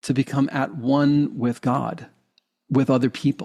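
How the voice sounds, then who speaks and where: Recorded very clean with a silent background and a dry, close sound with no echo, a man speaks slowly at a medium pitch in an ordinary speaking voice, his pace fairly slow. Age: 60s. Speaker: hypnotherapist and life coach. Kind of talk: interview conversation.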